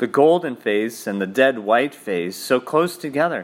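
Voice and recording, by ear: Lively intonation colors this reading aloud in a natural voice.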